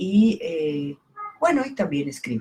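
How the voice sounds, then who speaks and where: A somewhat breathy woman's voice. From southern Mexico (Campeche). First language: Italian (speaking Spanish). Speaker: poet and book editor. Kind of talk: casual talk about her book. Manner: halting, many fillers.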